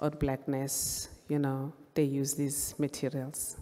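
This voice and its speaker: A woman with a Zulu accent speaks in a very deep, low voice, her dark, mellow tone staying monotone and flat. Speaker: visual artist, photographer. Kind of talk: panel presentation.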